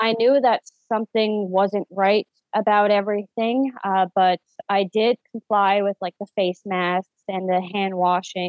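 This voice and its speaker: A woman with a Newfoundland accent talks at a fairly slow pace in a medium pitch, her intonation fairly even. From Newfoundland, Canada (St. John's). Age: 30s. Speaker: stay-at-home mother, vaccine injury sufferer. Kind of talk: interview testimony.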